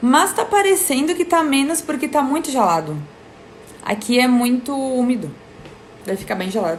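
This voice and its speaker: Against noticeable background noise, a woman with a high pitch speaks at a moderate pace. Her pitch swings very widely, and her pauses are long and frequent. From Rio Grande do Sul, Brazil (Serra Gaúcha). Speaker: live stream host. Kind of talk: casual live stream chat. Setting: Instagram live video stream.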